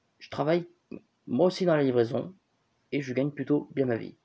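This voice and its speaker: Somewhat breathy and dark, mellow in tone, this man's voice moves with lively intonation. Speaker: YouTuber commentator. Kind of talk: commentary reading online comments. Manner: casual, hesitant with fillers.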